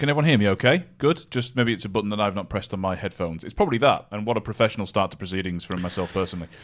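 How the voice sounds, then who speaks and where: On a very clean recording with a silent background, a man at a fairly low pitch speaks at a very fast pace with hardly any pauses, lively intonation and big swings in loudness. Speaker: football betting pundit. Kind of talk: live sports betting show chat.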